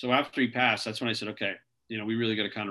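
At a very fast pace, a man with an American accent and medium pitch speaks with monotone, flat intonation. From Rhode Island, New England. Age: 40s. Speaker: bodybuilder and businessman. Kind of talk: podcast interview.

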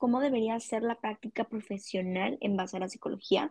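Speaking at a moderate pace, a woman's fairly high, somewhat breathy voice shows ordinary pitch variation. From Mexico, Culiacán, Sinaloa. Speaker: psychology student, podcast co-host. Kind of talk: casual chat.

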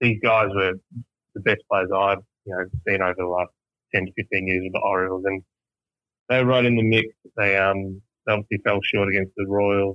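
A man with an Australian accent speaks at a fairly quick pace in a fairly low pitch, his intonation monotone and flat, broken by long, frequent pauses. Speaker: baseball fan guest. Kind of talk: casual interview chat. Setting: phone call.

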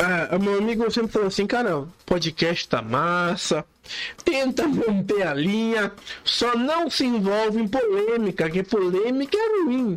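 A man speaks with a high voice, lively intonation and very even loudness. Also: fairly slow pace. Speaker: podcast host. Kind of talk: casual monologue.

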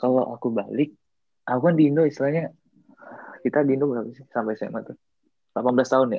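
Very fast yet broken by long, frequent pauses, a man's speech holds fairly even intonation while its loudness swings widely. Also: medium pitch for a man. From Indonesia. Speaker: Indonesian student abroad. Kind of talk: casual chat.

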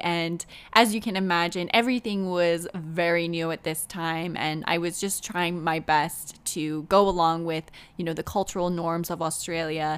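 At a moderate pace, a woman talks in a plain, everyday voice with fairly low pitch. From Canada. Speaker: podcast host and author. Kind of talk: solo podcast monologue.

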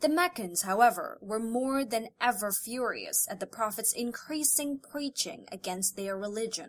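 An ordinary speaking voice from a woman, fairly high in pitch, with lively intonation, a moderate pace and hardly any pauses. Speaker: audiobook narrator. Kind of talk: audiobook narration, scripted reading of a biography. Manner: steady, measured, formal; solemn, reverent pace.

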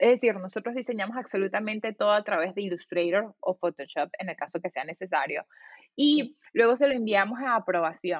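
A woman with a normal speaking voice talks at a fairly quick pace in a medium pitch, her intonation lively. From Venezuela (Valencia). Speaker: designer and entrepreneur. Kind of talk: interview.

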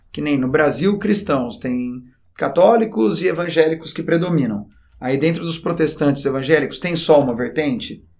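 This man has a plain, everyday voice and a fairly high pitch. He talks at a moderate pace with lively intonation. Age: 30s. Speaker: teacher. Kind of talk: educational podcast chat.

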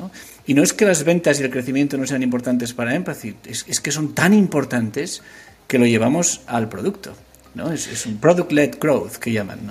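Somewhat breathy, this voice moves at a moderate pace with lively intonation and big swings in loudness. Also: man, fairly high pitch for a man. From Asturias, Spain. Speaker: tech startup founder. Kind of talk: interview. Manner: halting, many fillers.

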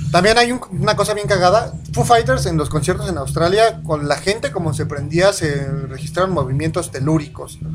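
Music can be heard behind the voice. A man talks at an unhurried, moderate speed. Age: 20s. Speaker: internet radio host. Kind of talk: casual chat.

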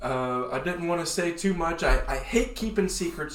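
An animated, lively-sounding voice at a moderate pace, with audible room echo. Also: man. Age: 30s. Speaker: podcast co-host. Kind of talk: casual chat.

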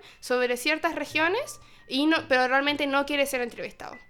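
A high-pitched woman talks over music in the background. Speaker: university student radio host. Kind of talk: casual chat.

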